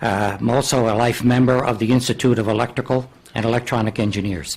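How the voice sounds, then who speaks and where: A man talks at a very fast pace with a medium pitch. His loudness stays very even and his intonation fairly even. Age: 80s+. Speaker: radio engineer, business owner. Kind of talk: public hearing testimony. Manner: formal, reading prepared statement.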